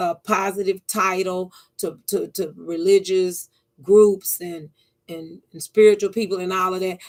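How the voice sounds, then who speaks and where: Speaking at a medium pitch with monotone, flat intonation, a woman goes at a fairly slow pace with big swings in loudness. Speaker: YouTuber. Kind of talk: monologue vlog. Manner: halting, repetitive stammers.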